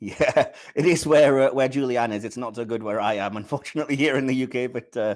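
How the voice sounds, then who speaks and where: Speaking at a fairly quick pace with a British accent, a man comes through on a very clean recording with a silent background. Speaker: podcast host. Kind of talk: casual chat. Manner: sluggish.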